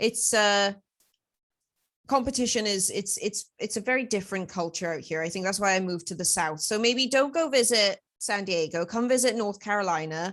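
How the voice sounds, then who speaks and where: Over a quiet background, a woman in a Welsh accent talks at a moderate pace and medium pitch with ordinary pitch variation. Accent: Welsh, came back after moving. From Wales, Swansea. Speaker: podcast host. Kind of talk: casual chat.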